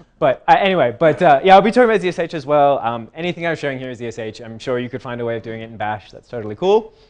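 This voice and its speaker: Talking at a very fast pace with hardly any pauses, a man with an American accent uses a fairly high pitch, very wide pitch swings and big swings in loudness. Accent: Australian, with some American. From Australia. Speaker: tech conference speaker. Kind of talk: tech talk.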